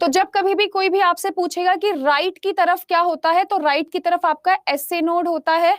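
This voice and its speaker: With an extremely high pitch, a woman speaks with fairly even intonation, very even loudness and hardly any pauses, in a dry, close sound with no echo. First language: English more comfortable than Hindi (speaking Hindi). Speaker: online exam-prep science teacher. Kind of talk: live online class lecture. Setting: live online class app. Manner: scolding, stern at times.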